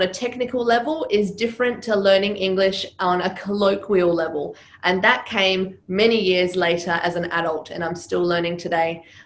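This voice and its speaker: With a slight Serbian accent, a woman at medium pitch talks at a moderate pace with hardly any pauses and ordinary pitch variation, amid noticeable background noise and audible room echo. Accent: slight Serbian accent in Australian English. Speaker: public speaking coach. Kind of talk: interview.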